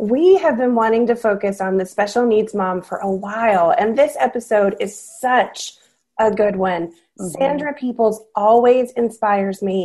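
A woman speaks with a dark, mellow tone and a fairly high pitch that varies in an ordinary way. Her pace is moderate against a quiet background. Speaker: podcast host. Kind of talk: casual chat.

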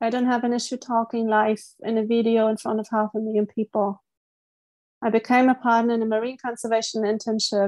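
Over a quiet background with a dry, close sound and no echo, a woman speaks in a German accent at a fairly high pitch and a fairly quick pace, with monotone, flat intonation and very even loudness. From East Germany. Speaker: life coach and marine conservationist. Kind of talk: interview.

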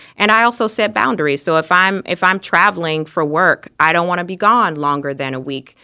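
A woman with a fairly low pitch speaks at a fairly quick pace. Her intonation is lively, with hardly any pauses. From US South, Arkansas. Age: 30s. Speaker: friend of the host. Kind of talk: casual chat. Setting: studio. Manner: animated.

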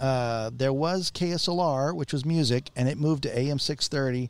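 Someone speaks with a Texan accent in a very clean recording with a silent background. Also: man. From Texas, San Antonio. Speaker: radio announcer. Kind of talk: radio interview. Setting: recording in a western outfitters store.

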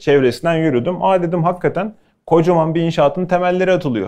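Against a quiet background, a man with a high pitch and a dark, mellow tone speaks at a fairly quick pace. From Bursa, Turkey. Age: 30s. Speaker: chef. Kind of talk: talk to students with Q&A.

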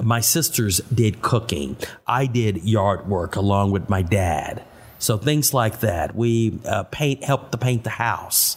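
At a very slow pace, a man with an American accent talks in a somewhat breathy medium-pitched voice, with ordinary pitch variation and very even loudness. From Austin, Texas. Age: 60s. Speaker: city tour guide. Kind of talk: interview.

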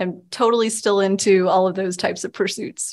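Against a quiet background, a woman speaks with an American accent in a normal speaking voice. Her pitch is medium, with fairly even intonation. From Texas. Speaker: newspaper reporter. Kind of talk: interview.

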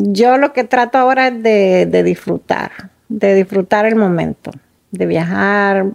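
A woman speaking at a very slow pace. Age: 50s. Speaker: guest on a conversation podcast. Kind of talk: casual chat.

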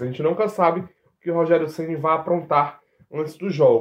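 A man talks at a high pitch. His pace is moderate. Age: 20s. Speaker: sports reporter. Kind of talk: casual sports chat.

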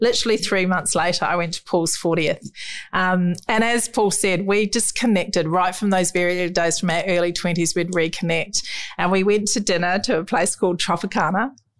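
Speaking at a fairly quick pace, a woman with a medium pitch and a New Zealand accent keeps a very even loudness. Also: fairly even intonation. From New Zealand, rural South Island. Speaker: children's mental health charity founder. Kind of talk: interview.

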